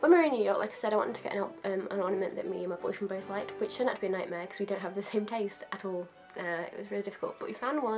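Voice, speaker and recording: A woman with a British accent talks at a very fast pace over music in the background. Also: hardly any pauses. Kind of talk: casual talk to camera.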